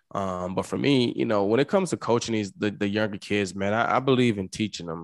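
Fairly low in pitch, a man talks at a fairly quick pace with hardly any pauses. His pitch variation is ordinary. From Mississippi, US South. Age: 30s. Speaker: retired football player. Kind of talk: interview. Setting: video call.

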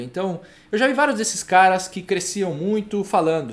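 Animated in tone, a man speaks at a moderate pace with a high pitch and very wide pitch swings. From Brazil, Maringá, Paraná. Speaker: livestream host on reading habits. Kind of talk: casual live-stream talk. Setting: online live stream.

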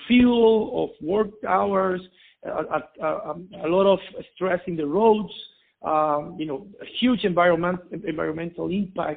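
Fairly slow delivery in a Spanish accent, with ordinary pitch variation. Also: man. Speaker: logistics entrepreneur. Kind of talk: interview. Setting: phone call. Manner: halting.

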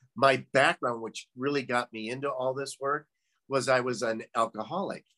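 A man with an American accent, a normal speaking voice at medium pitch and moderate pace, dry, close sound with no echo. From US Midwest. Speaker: former doctor, meditation practitioner. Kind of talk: casual conversation interview. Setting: video call.

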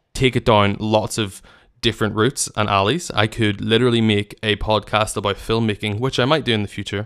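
A man with a Northern Irish accent speaks at a fairly low pitch and a fairly quick pace, with ordinary pitch variation. The recording is very clean, with a silent background. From Northern Ireland. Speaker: podcast host and wedding filmmaker. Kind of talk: solo casual monologue. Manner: hesitant, many fillers.

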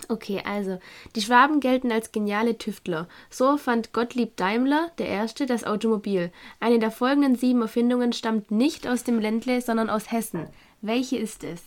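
A woman with a Swabian accent, fairly high pitch and ordinary pitch variation at a moderate pace, on a very clean recording with a silent background. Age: 20s. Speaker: guest. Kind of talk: casual chat.

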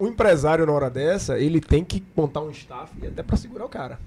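A man talks very fast in a fairly high pitch. His intonation is lively. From Camaçari, Bahia, Brazil. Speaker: businessman and podcast co-host. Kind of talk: casual chat.

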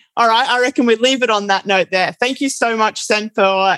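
In a dry, close recording with no echo, a woman with an Australian accent speaks at a moderate pace, her fairly high pitch showing ordinary variation. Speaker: podcast host, eco traveler. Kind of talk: casual interview. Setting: remote call.

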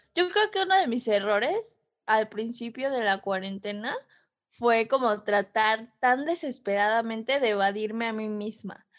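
Speaking fairly slowly, a woman has a Mexican accent. Her pitch is fairly high, with ordinary variation. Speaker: podcast co-host. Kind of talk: casual chat.

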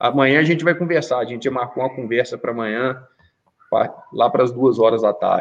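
Talking at a very fast pace, a man leaves long, frequent pauses and uses ordinary pitch variation. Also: medium pitch for a man. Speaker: volleyball coach. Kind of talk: casual chat. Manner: animated; loud.

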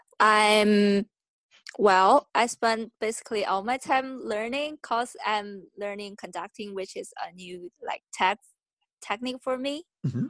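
A woman with a Chinese accent speaks at a fairly slow pace and a fairly high pitch, showing ordinary pitch variation and big swings in loudness, in a dry, close sound with no echo and a quiet background. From China. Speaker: stage manager and composer. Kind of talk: interview. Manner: halting.

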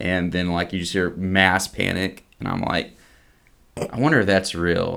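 In a Southeast Texas accent, a man speaks at a very deep, low pitch. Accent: Southeast Texas Southern US. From Southeast Texas, near Beaumont. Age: 30s. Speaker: seminary student. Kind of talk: casual chat. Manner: halting with repetitions.

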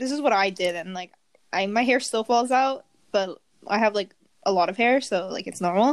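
This woman has a plain, everyday voice, a medium pitch, ordinary pitch variation and a moderate pace. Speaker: podcast co-host. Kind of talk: casual chat.

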